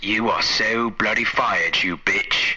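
A man uses a put-on character voice at a fairly slow pace over clear background noise. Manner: smug, hostile.

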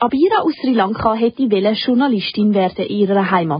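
The woman's voice is somewhat breathy, at a medium pitch with ordinary variation in it. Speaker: radio host. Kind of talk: scripted narration. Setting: studio.

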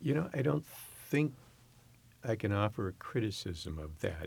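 Speaking at a fairly slow pace with an American accent, a man is heard on a very clean recording with a silent background. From US West Coast, San Francisco Bay Area. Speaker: university president. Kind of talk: interview.

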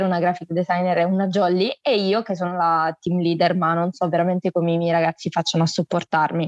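A woman speaks in an animated tone at a fairly low pitch, with a dry, close sound and no echo. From Salento, southern Italy. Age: 20s. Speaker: student and interviewer. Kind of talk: casual interview chat. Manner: animated, outgoing.

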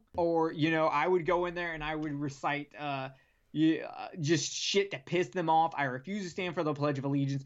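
A man with a Southern US accent, a fairly high pitch and fairly even intonation. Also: moderate pace. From US South (South Carolina and Alabama). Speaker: podcast host from another show. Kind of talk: casual chat.

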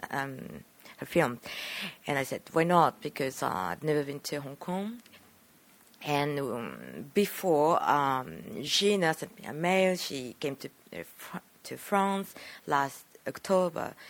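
A woman speaks very slowly, her pitch very deep and low, with a Japanese accent. Her intonation is lively, her loudness swings widely, and she pauses often and at length. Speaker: film director. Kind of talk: interview.

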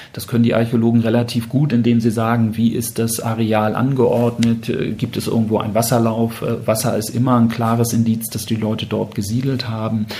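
Monotone, flat delivery with hardly any pauses, audible room echo and noticeable background noise. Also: man, medium pitch for a man, moderate pace. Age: 50s. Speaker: museum managing director. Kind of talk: interview. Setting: in-person at the museum.

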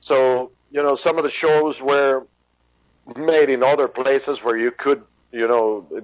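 Speaking in a Spanish accent, a man uses a mid-range pitch. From Venezuela. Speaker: rock musician and pharmacist. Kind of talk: interview. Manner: halting.

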